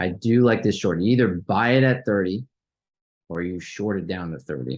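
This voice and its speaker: Against a quiet background, a man speaks with a fairly low pitch. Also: lively intonation. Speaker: stock trading youtuber. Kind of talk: live trading watchlist commentary. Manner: fast; casual, halting with fillers.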